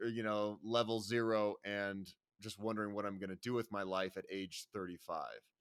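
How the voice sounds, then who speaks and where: A man speaks at a moderate pace in an American accent with a bright, sharp tone. The recording is very clean, with a silent background. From Colorado, US. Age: 40s. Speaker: YouTube adventurer and travel vlogger. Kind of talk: podcast interview.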